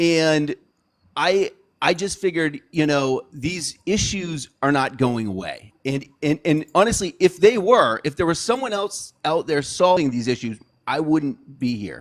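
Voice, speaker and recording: A man with a plain, everyday voice speaks at a fairly slow pace. His pitch is fairly high, with lively intonation. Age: 40s. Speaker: political candidate. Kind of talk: casual interview. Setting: livestream.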